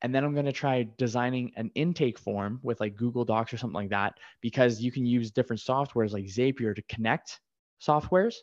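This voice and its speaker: An ordinary speaking voice moves at a fairly quick pace with ordinary pitch variation. The recording is dry and close with no echo, against a quiet background. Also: man, medium pitch for a man. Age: 30s. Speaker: podcast host. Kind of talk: casual interview conversation.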